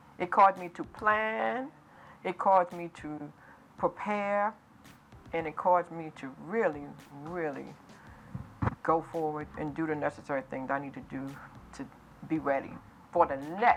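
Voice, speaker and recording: This woman has a fairly low voice with an American accent and lively intonation. She speaks at a moderate pace, with long, frequent pauses. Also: big swings in loudness. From US Northeast, New York City. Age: 60s. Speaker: author and entrepreneur. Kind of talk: interview. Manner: animated.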